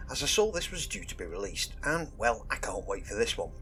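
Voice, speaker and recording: A man races through his words at a very fast pace while music plays behind him. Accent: southern English. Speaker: YouTube hobby guide host. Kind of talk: casual tutorial monologue.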